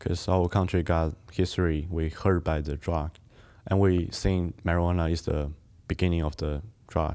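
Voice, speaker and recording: The speaker has a Chinese accent and a dark, mellow tone, with monotone, flat intonation at a moderate pace. The recording is very clean, with a silent background. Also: man, very deep, low pitch for a man. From Southern China. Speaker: exchange student. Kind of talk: casual interview. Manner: halting.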